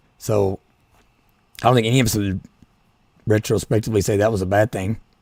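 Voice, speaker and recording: A man with an Appalachian accent at a very fast pace, fairly low in pitch, with monotone, flat intonation. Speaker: political podcaster. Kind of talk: solo podcast commentary. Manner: halting, many restarts.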